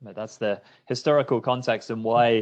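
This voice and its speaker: Man with a British accent at a moderate pace, against a quiet background. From UK. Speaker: startup fundraising executive. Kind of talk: webinar interview.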